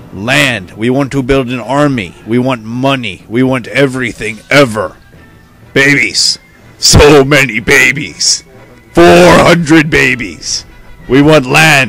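Faint music plays in the background as a man speaks at a fairly slow pace and a medium pitch. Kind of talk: comic overacting. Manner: loud, demanding, bratty.

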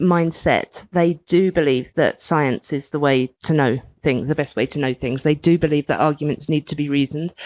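On a very clean recording with a silent background, a woman with a London accent speaks, the sound dry and close with no echo. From England, East London. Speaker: writer and magazine editor. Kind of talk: casual interview chat. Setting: in a house, in person.

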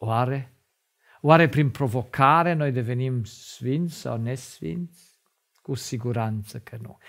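The speech moves at a very slow pace with big swings in loudness. The background is quiet. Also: man, ordinary pitch variation. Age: 50s. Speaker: lay preacher and doctor; religious teacher. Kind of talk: sermon. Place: studio. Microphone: lapel.

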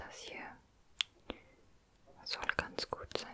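A woman whispers, soft-spoken, at a very slow pace. Light background noise can be heard. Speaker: ASMR creator. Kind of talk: soft-spoken ASMR roleplay. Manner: soft close-mic ASMR whisper. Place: home room. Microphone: studio mic.

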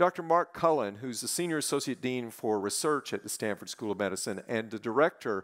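Fairly quick speech from a man over a quiet background. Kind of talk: welcoming speech. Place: stage. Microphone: headset.

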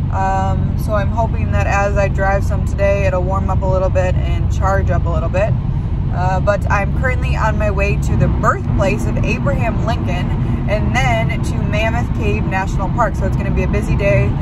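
A woman speaks at a moderate pace, the sound dry with no echo and loud background noise behind her. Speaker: van life vlogger. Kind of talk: casual vlog chat. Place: car. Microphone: phone near.

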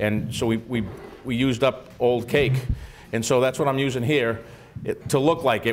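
A man talks fairly quickly, his intonation fairly even, with light background noise behind him. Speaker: chef host. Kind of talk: cooking show chat and tutorial. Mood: jovial, joking. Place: studio.

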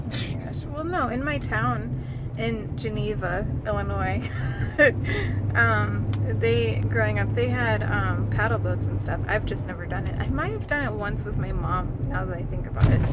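Speech comes at a fairly slow pace with ordinary pitch variation. The sound is dry with no echo, under loud background noise. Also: woman. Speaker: vlogger. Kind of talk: casual vlog chat. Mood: relaxed, reminiscing. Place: car. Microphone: phone near.

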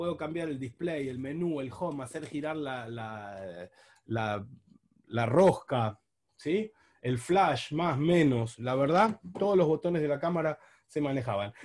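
A man's plain, everyday voice, fairly high in pitch, with lively intonation at a fairly slow pace against a quiet background. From Buenos Aires, Argentina. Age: 40s. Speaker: diving instructor and underwater photographer. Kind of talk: online talk with slides.

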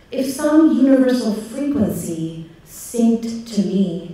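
A woman speaks very slowly with lively intonation. Strong echo fills the room around her. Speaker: poet. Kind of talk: poetry reading of a prayer, contemplative spoken word. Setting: stage with audience. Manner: measured, meditative, reflective. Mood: contemplative, measured. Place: stage.

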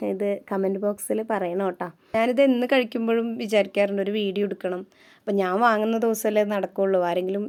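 This woman has a normal speaking voice at a medium pitch with fairly even intonation. The recording is very clean, the background silent. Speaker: vlogger. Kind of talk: casual vlog talk to camera. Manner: chatty.

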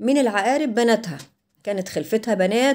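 The voice has a dark, mellow tone and lively intonation, delivered in an Egyptian accent. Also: woman. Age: 60s. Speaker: vlogger; home vlogger. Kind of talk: life story; casual vlog storytelling. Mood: aggrieved recollection. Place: kitchen. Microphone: camera far.

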